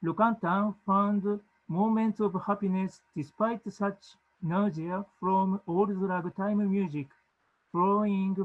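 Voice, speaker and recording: Speaking very slowly with a Japanese accent, a man uses a high pitch and fairly even intonation against a quiet background. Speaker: music education academic. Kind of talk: conference presentation. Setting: video call.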